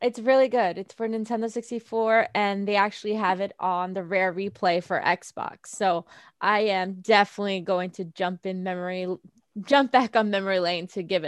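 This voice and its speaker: Against a quiet background, a woman with an American accent uses a plain, everyday voice at a moderate pace, with fairly even intonation and a dry, close sound with no echo. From New York City, Staten Island. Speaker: gaming streamer. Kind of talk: casual interview. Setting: video call.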